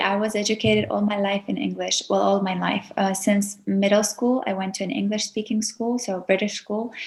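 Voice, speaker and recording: Speaking at a moderate pace with hardly any pauses, a woman with an Azerbaijani accent uses a medium pitch and monotone, flat intonation, sounding somewhat breathy. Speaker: YouTuber, etiquette teacher. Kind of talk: podcast interview.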